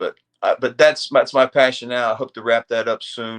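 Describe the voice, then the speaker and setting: A man with an American accent, in a dry, close recording with no echo. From US South, North Carolina. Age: 60s. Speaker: army aviator veteran. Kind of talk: casual interview chat. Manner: repetitive false starts.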